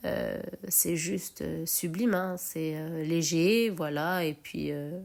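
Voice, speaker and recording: On a very clean recording with a silent background, a woman is heard. She speaks very slowly. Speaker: home cook. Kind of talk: cooking tutorial. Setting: home kitchen. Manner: animated; halting.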